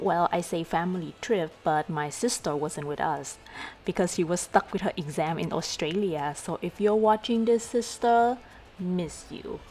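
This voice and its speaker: A woman with a Vietnamese accent, fairly low in pitch, at a fairly slow pace and with ordinary pitch variation. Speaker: travel vlogger. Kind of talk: vlog narration.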